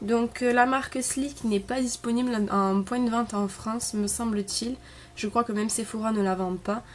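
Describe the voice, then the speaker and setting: A woman's fairly high voice at a moderate pace with fairly even intonation, amid noticeable background noise. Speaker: beauty vlogger. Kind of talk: product review. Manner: hesitant, many fillers.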